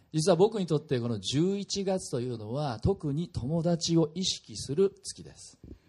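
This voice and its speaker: Over a quiet background, a man with a fairly high pitch and a dark, mellow tone talks at a fairly slow pace with hardly any pauses, very wide pitch swings and big swings in loudness. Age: 40s. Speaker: pastor. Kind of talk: sermon.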